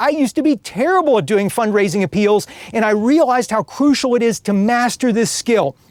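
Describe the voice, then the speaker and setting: An extremely high-pitched man's voice, enthusiastic in tone, with lively intonation and a very fast pace, over noticeable background noise. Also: dry, close sound with no echo. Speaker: nonprofit fundraising trainer. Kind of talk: webinar training presentation. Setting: live stream webcast.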